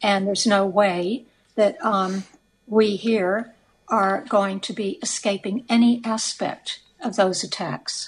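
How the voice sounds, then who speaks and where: A woman's somewhat breathy voice unfolds at a very slow pace. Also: medium pitch for a woman, fairly even intonation. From United States. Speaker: socialist activist. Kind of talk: radio interview. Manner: halting, many fillers.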